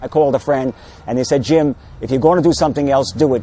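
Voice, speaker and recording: A man speaks at a very fast pace with a fairly high pitch while music plays in the background. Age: 60s. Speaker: patient giving testimony. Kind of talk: testimony. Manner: halting.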